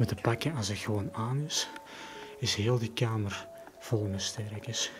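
A man at a moderate pace and fairly low pitch, ordinary pitch variation, with clear music in the background. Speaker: urban explorer vlogger. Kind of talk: casual vlog chat. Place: home room. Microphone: phone near.

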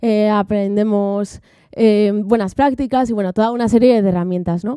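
A woman's dark, mellow tone at a moderate pace. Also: quiet background, dry sound with no echo. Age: 30s. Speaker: software developer; conference speaker. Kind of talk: conference talk. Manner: halting. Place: stage. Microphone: handheld.

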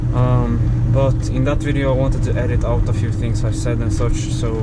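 The man talks over loud background noise. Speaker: truck driver vlogger. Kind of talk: casual vlog chat. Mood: relaxed, mildly annoyed. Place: car.

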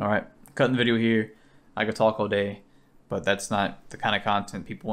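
Here a man speaks at a fairly quick pace. His pitch is fairly low and his intonation fairly even. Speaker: car vlogger. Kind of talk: casual vlog chat. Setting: beside his car, recording on an action camera. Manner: monotone; talks fast at times, mumbles. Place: home room.

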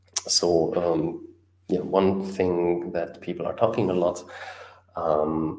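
A man is speaking. He has a German accent. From Germany. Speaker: YouTube host on Caribbean economics. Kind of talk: live stream talk. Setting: solo live stream. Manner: hesitant, many fillers. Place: home room.

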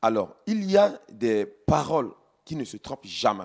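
Fairly high-pitched male voice with very wide pitch swings over a quiet background. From Central African Republic. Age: 30s. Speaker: politician. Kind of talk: interview. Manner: halting. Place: studio. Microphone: handheld.

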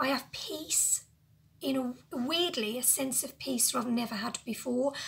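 A woman's high voice at a fairly slow pace, with ordinary pitch variation. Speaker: lifestyle vlogger. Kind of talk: casual talk to camera. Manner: emotional, personal. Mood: emotional, reflective. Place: home room. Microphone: phone near.

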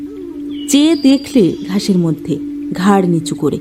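What we hear is a plain read-aloud passage.

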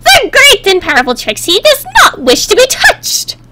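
A put-on character voice that sounds female jumps through very wide pitch swings at an extremely high pitch. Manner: grandiose, haughty.

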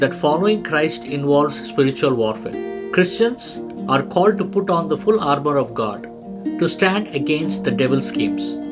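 A man at a moderate pace with clear music in the background. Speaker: preacher teacher. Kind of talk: sermon.

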